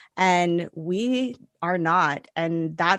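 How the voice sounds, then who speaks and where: An ordinary speaking voice with ordinary pitch variation against a quiet background. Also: woman. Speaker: business coach for holistic practitioners. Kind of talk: podcast interview.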